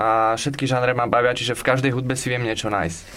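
A man talks in a normal speaking voice, his pitch medium and his pace moderate. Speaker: music producer. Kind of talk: radio interview. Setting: studio.

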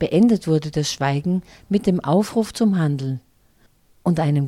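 Dark and mellow in tone, a woman with a very deep, low pitch speaks at a fairly slow pace with lively intonation. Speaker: radio presenter. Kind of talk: news reading.

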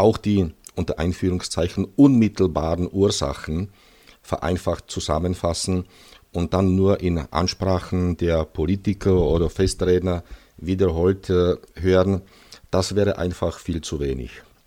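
In a Czech accent, a man speaks at a fairly slow pace with a very deep, low pitch, a dark, mellow tone and fairly even intonation. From Czech Silesia. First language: Czech (speaking German). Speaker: historian, museum deputy director. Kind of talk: interview, partly prepared historical talk. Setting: recorded at his museum. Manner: halting with frequent fillers.

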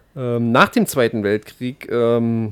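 The sound is dry and close with no echo, on a very clean recording with a silent background. A man speaks at a medium pitch and a fairly slow pace. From not from the local region. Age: young. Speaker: satirical expert guest on hollow earth. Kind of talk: satirical mock lecture. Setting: radio studio. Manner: halting, many filler sounds.

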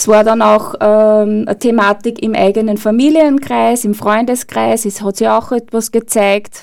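At a fairly slow pace with hardly any pauses, a woman talks in an unremarkable speaking voice. Her pitch is fairly high and her intonation fairly even. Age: 50s. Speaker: burnout prevention trainer. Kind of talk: radio interview.

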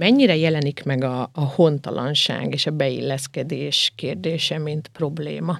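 The pace is fairly slow. Hardly any pauses break the speech. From southern Slovakia, Hungarian minority. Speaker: radio host. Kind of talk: radio interview. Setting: radio studio.

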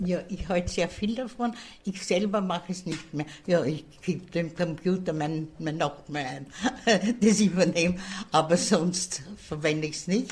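Somewhat breathy, a woman talks at a fairly slow pace with a fairly low pitch and ordinary pitch variation. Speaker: retirement home resident. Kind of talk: interview.

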